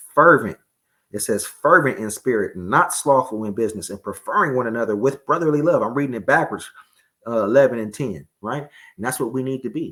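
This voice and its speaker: Bright and sharp in tone, a man talks at a fairly quick pace. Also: medium pitch for a man, ordinary pitch variation, very clean recording, silent background. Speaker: religious teacher. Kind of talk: sermon. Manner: fast.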